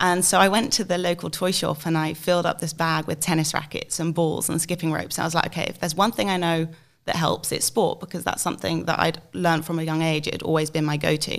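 With an English accent, a woman speaks at a very fast pace with hardly any pauses, a fairly low pitch and fairly even intonation, on a very clean recording with a silent background. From England, UK. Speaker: alumna and marketing agency co-founder. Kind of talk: podcast interview.

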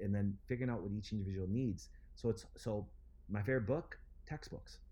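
Speaking at a fairly quick pace with an American accent, a man uses a fairly low pitch, ordinary pitch variation, a dark, mellow tone and a somewhat breathy quality. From Wisconsin. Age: 40s. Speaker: chiropractor and clinic founder. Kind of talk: interview.

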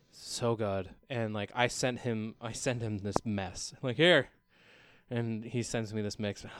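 In an American accent, a man speaks at a fairly slow pace with a normal speaking voice, medium pitch and fairly even intonation, in a very clean recording with a silent background. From Oregon, US (Albany area). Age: 30s. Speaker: singer-songwriter. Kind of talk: casual chat. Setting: studio.

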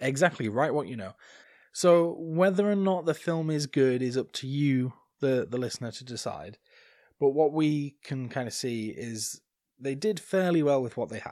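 The speaker talks with a northern English accent at a moderate pace, showing ordinary pitch variation and big swings in loudness on a very clean recording with a silent background. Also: man, fairly high pitch for a man. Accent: non-RP British, regional northern. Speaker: podcast co-host. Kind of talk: casual chat, podcast recap.

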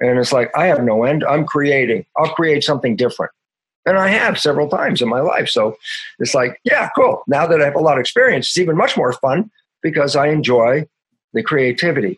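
A man's upbeat, energetic voice, fairly high and somewhat breathy, with lively intonation, a fairly quick pace and very even loudness. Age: 70s. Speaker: stem cell biologist and author. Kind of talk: casual interview conversation. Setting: remote interview call. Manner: upbeat, happy, energetic.

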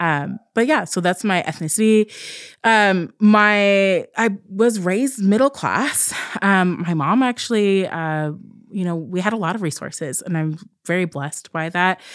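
Delivered with an American accent in a normal speaking voice, the speech moves at a fairly slow pace on a very clean recording with a silent background. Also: woman, medium pitch for a woman, ordinary pitch variation. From southern Oregon, US West Coast. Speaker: clinical psychologist and podcast co-host. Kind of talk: casual chat.

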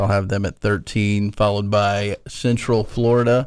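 A man with a normal speaking voice, fairly low in pitch, at a moderate pace. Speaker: radio co-host. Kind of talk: casual sports-radio banter. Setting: radio studio. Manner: relaxed, bantering.

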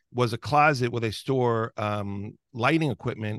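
A man with an American accent has an ordinary speaking voice, talking at a moderate pace with ordinary pitch variation in a dry, close sound with no echo over a quiet background. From New York, Long Island. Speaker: podcast host. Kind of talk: casual interview chat. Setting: video call.

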